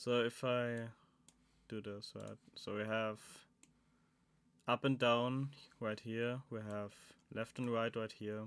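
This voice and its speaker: A man with a German accent at a very slow pace, with long, frequent pauses and monotone, flat intonation, on a very clean recording with a silent background. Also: medium pitch for a man. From Germany, Saxony. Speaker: animatronics maker streamer. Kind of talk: live stream chat while building. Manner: casual, thinking aloud.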